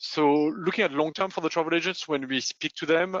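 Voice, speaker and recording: With a French accent, a man speaks at a fairly quick pace. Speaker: payments consultant. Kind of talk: webinar presentation. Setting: online webinar. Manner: hesitant, many fillers.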